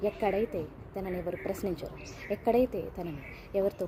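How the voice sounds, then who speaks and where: A woman's voice amid noticeable background noise. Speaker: emotional support companion for women. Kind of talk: personal video message. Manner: gentle.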